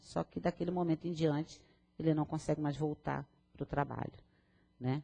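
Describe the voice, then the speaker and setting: A woman speaks with a very deep, low pitch and a dark, mellow tone, her intonation flat and monotone, in a dry, close sound with no echo. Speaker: spiritist lecturer. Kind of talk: lecture. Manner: fast.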